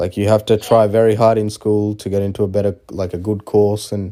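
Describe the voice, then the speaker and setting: With an Australian accent, a man speaks in a fairly low, dark, mellow voice with monotone, flat intonation, on a very clean recording with a silent background. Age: 20s. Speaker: aviation student interviewee. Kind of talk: casual interview. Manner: hesitant, many fillers.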